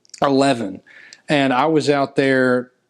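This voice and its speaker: A man speaks at a medium pitch with a Tennessee accent. The background is quiet. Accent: Southern US (Tennessee). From US South, Tennessee (near Nashville). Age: 20s. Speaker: musician and songwriter. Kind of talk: interview. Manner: casual, with fillers and restarts.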